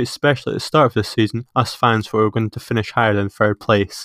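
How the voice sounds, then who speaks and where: A man with a Scottish accent at medium pitch and a very fast pace, with a dry, close sound with no echo in a very clean recording with a silent background. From Scotland, Peebles. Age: 20s. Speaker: podcast host. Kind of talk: casual chat. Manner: hesitant.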